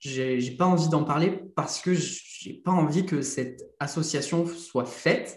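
Through audible room echo comes a man's fairly high-pitched voice with ordinary pitch variation. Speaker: content creator. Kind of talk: casual interview. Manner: casual, hesitant.

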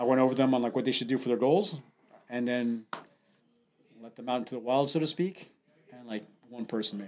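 A fairly quick pace broken by long, frequent pauses, with big swings in loudness and ordinary pitch variation. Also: man, medium pitch for a man. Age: 50s. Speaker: gym owner and CrossFit coach. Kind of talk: casual chat.

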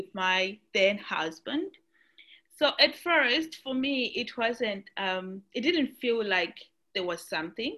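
Very slow speech with very wide pitch swings and a bright, sharp tone, on a very clean recording with a silent background. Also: woman, fairly high pitch for a woman. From Zimbabwe. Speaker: nurse. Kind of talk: interview testimony.

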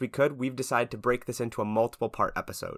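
A man's bright, sharp, medium-pitched voice at a very fast pace with fairly even intonation, dry and close with no echo, on a very clean recording with a silent background. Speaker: student podcast co-host. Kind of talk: casual interview.

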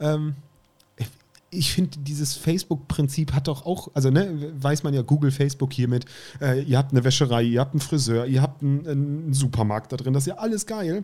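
This man talks at a fairly quick pace with a fairly high pitch and ordinary pitch variation. His tone is dark and mellow, and somewhat breathy. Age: 30s. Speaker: podcast co-host. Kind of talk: casual chat.

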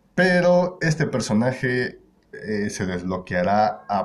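With a Mexican accent, a man speaks in a fairly low pitch with lively intonation. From Mexico, Querétaro. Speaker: podcast host. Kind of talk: casual chat. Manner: halting.

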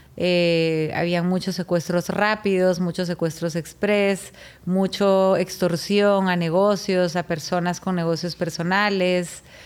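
With hardly any pauses and very even loudness, a woman speaks very slowly at a medium pitch in a flat, monotone way. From Guatemala. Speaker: chef. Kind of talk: testimony.

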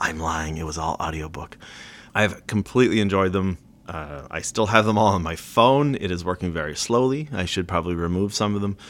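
Fairly quick in pace, a man talks with a very deep, low pitch and ordinary pitch variation. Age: 40s. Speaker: podcast host, retail worker. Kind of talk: casual opinion monologue. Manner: casual with many fillers.

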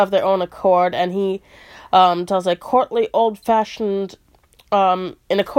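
Someone reads aloud plainly. Nothing more is done with the text.

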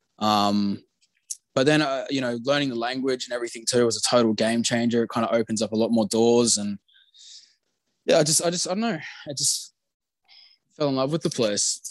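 Long, frequent pauses break up this man's fairly quick delivery. His pitch is medium and varies in an ordinary way. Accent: Australian. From Australia. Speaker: expat living in Japan. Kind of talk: casual interview.

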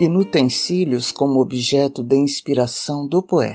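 Speech at a very slow pace is heard against a quiet background. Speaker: podcast host and poetry reader. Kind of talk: poetry reading, expressive and unhurried, slipping from introduction into verse. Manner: slow, measured, expressive, reverent.

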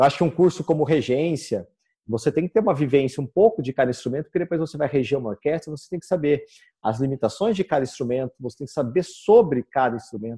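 A man speaks very fast in a fairly high, somewhat breathy voice with a dark, mellow tone. His intonation is lively, and the sound is dry and close with no echo. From Brazil, Campinas (São Paulo state). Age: 30s. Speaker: guitar teacher and musician. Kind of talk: interview.

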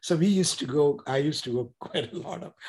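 A man with an Indian accent, fairly high in pitch, at a moderate pace with lively intonation. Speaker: author and entrepreneur. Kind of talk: casual interview. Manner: halting, repeats words.

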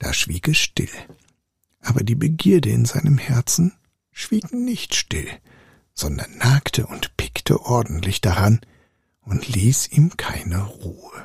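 A man speaks very slowly in a calm, soothing tone, with vocal fry, very wide pitch swings and long, frequent pauses, in a dry, close sound with no echo. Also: medium pitch for a man. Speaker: storyteller reading fairy tales aloud. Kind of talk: fairy tale storytelling. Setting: live audio room on Clubhouse. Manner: calm, soothing, slow-paced bedtime reading.

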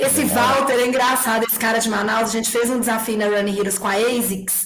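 A woman's fairly high voice comes with audible room echo and noticeable background noise. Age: 40s. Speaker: running app executive and race organizer. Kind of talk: casual interview.

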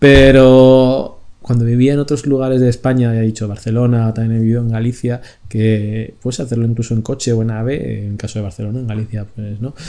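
A man's medium-pitched, dark and mellow voice at a fairly quick pace, with fairly even intonation. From Spain. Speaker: podcast co-host. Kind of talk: casual chat.

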